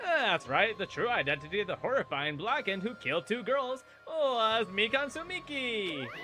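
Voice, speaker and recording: A put-on character voice sits at a fairly high pitch and swings very widely. Background noise is clearly present. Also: moderate pace, hardly any pauses. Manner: theatrical, taunting.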